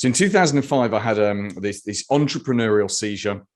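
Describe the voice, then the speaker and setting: Pitched in the medium range, a man talks with ordinary pitch variation. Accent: British. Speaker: marketing consultant. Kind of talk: webinar presentation. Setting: video webinar.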